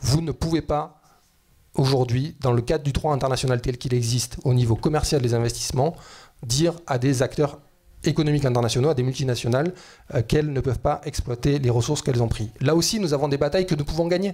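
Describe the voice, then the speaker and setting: With a fairly high pitch and a dark, mellow, somewhat breathy tone, a man talks at a fairly quick pace with ordinary pitch variation. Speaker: economist and climate activist. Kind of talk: panel debate talk. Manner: fast.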